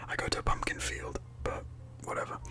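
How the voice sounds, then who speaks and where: A man whispers at a moderate pace. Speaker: ASMR creator and 3D modeller; ASMR creator. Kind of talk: ASMR tutorial narration. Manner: whispered, soft-spoken. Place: home room.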